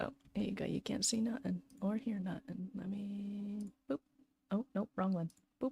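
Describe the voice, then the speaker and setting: A woman speaks at a moderate pace with a medium pitch, a dark, mellow tone and ordinary pitch variation. Her delivery has long, frequent pauses, and the sound is dry and close with no echo. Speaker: streamer. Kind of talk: casual chat. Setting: home bedroom. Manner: loud.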